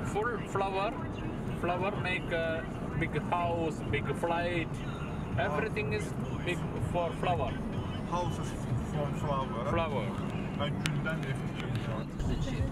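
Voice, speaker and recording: A man speaking at a very slow pace with long, frequent pauses and ordinary pitch variation, in a dry sound with no echo and loud background noise. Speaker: driver or tour guide. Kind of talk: casual conversation giving directions. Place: car. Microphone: camera far.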